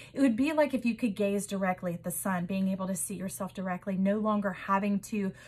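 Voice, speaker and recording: A woman's somewhat breathy voice at a fairly quick pace. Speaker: tarot reader. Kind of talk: intuitive tarot reading. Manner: fast; animated.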